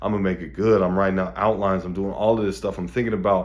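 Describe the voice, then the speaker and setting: A man speaks at a very fast pace with vocal fry. His pitch is fairly low. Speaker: motivational video host. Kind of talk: motivational monologue. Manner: mellow.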